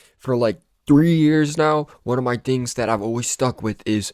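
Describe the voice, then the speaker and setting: A man with a plain, everyday voice, fairly slow pace and ordinary pitch variation, in a dry, close sound with no echo on a very clean recording with a silent background. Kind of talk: casual talk to camera. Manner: casual, rambling.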